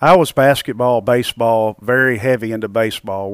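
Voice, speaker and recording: In a Southern US accent, a man speaks at medium pitch and moderate pace with fairly even intonation, the sound dry and close with no echo on a very clean recording over a silent background. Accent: Southern US, noticeable. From Arkansas. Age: 50s. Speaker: amateur golfer. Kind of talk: casual interview.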